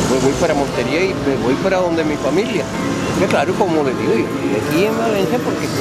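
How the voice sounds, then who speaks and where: A man at a moderate pace, dry sound with no echo, loud background noise behind him. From Córdoba, Colombia. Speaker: journalist. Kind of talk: interview answer. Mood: earnest, somewhat pleading. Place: street.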